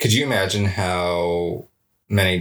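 Very deep and low in pitch, a man's voice carries a bright, sharp tone and fairly even intonation. The recording is very clean with a silent background. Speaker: podcast co-host. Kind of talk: casual conversation.

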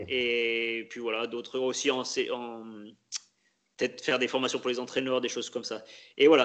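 This man talks at a moderate pace in a medium pitch, his delivery flat and monotone, broken by long, frequent pauses. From France, Loire (Pilat, near Saint-Étienne). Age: 30s. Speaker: elite orienteering athlete. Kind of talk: interview. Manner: halting.

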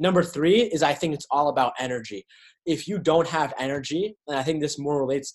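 This man has an unremarkable speaking voice with an American accent, a fairly high pitch, ordinary pitch variation and a fairly quick pace. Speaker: podcast host and author. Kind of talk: casual chat.

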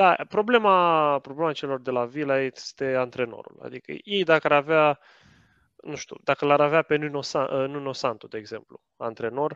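A man with an unremarkable speaking voice talks at a moderate pace and a fairly high pitch, with ordinary pitch variation and a dry, close sound with no echo. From Romania. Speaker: football podcaster. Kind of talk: casual chat.

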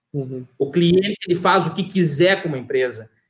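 A man speaks with a southern Brazilian accent. His pitch is high. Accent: gaúcho Brazilian Portuguese. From southern Brazil, Rio Grande do Sul (Santo Ângelo). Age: 30s. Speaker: business owner. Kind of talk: live-stream interview. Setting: live video stream.

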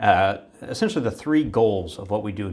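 The speaker talks at a fairly quick pace with an American accent and lively intonation. The voice is somewhat breathy. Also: man. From Virginia, US. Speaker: human factors researcher. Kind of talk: interview.

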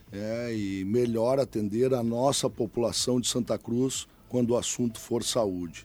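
A dark, mellow tone carries fairly even intonation at a fairly slow pace. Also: man. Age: 40s. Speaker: mayoral candidate. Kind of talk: political interview. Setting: radio studio. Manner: hesitant, many filler sounds.

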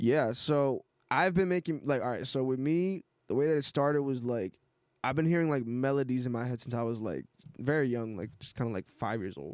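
Speaking at a fairly quick pace, a man with an American accent uses a normal speaking voice at a medium pitch with ordinary pitch variation. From Massachusetts North Shore (born Miami, Hialeah). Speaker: rapper. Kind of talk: casual chat.

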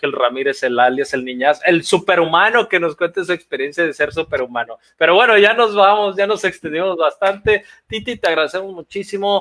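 The speaker is a man with lively intonation. He keeps a moderate pace. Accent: Mexican. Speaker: archery podcast co-host. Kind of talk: casual chat.

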